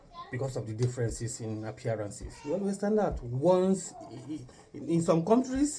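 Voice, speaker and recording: At a moderate pace, a man talks with very wide pitch swings. There is noticeable background noise. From Nigeria, Igbo. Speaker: YouTube couple vlogger. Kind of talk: casual chat. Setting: kitchen.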